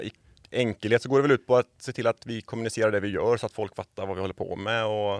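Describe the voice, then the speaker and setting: Recorded dry and close with no echo, a man speaks in an ordinary speaking voice of medium pitch. He moves at a fairly quick pace with fairly even intonation. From Sweden, Borås. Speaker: environmental organisation worker. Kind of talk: interview conversation. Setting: studio.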